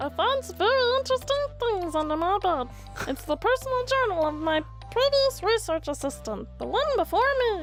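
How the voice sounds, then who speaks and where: A squeaky, cartoonish character voice from a woman, extremely high-pitched and fairly quick, with clear music in the background. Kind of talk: comic cartoon voice impression. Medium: game stream. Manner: dry, deadpan inner narration.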